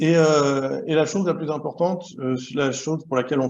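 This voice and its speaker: A man speaks with ordinary pitch variation. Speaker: association member presenting a governance model. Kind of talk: online workshop presentation. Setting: video call. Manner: fast; hesitant, many fillers and repetitions.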